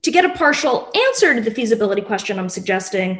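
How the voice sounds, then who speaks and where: The woman's delivery is somewhat breathy and moves at a moderate speed, her intonation lively. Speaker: presenter. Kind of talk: lecture. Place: home room. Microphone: webcam.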